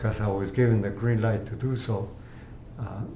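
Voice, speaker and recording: A man is speaking in a room with audible echo. Noticeable background noise sits under his voice. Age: 80s+. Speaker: cancer patient. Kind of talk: interview testimony. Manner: halting.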